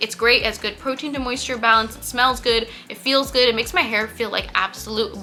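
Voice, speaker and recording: Music plays in the background as a woman talks in an animated tone at a fairly quick pace, with a fairly high pitch and ordinary pitch variation. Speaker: beauty youtuber. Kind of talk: product review vlog. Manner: fast.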